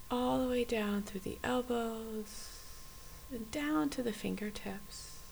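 The voice has a calm, soothing tone at a very slow pace. Background noise is noticeable. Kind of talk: guided meditation. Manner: slow, soft, calm and gently paced with long pauses; soothing, inviting, warm.

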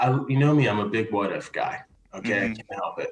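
A man talks in an animated tone. His voice is somewhat breathy. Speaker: podcast host. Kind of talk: casual chat. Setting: video call.

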